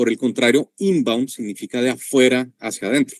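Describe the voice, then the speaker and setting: A man speaks with a Colombian accent. The sound is dry and close, with no echo. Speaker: sales and marketing expert, workshop presenter. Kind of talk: online workshop presentation.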